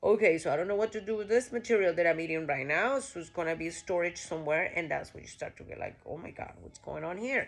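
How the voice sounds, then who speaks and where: Speaking with a Costa Rican accent at a very fast pace, a woman uses a fairly low pitch and lively intonation. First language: Spanish. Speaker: vlogger. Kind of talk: casual monologue. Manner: animated; halting.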